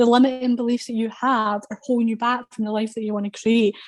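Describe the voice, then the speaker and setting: A Scottish accent, somewhat breathy, with fairly even intonation and a fairly quick pace. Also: woman. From Scotland. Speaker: confidence coach. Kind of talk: casual chat.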